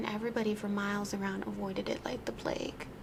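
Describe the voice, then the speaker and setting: A soft-spoken woman at a fairly quick pace over noticeable background noise. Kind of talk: ASMR spooky story reading.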